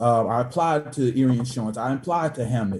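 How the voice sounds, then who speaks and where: A man with a medium pitch and ordinary pitch variation sounds somewhat breathy as he talks. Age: 20s. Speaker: minister and city council candidate. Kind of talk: candidate forum answers.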